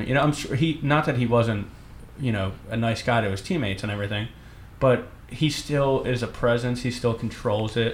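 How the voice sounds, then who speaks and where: A man talks at a moderate pace with a Philadelphia accent. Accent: Philadelphia, noticeable. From Northeast Philadelphia. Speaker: baseball beat writer. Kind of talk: casual sports talk chat.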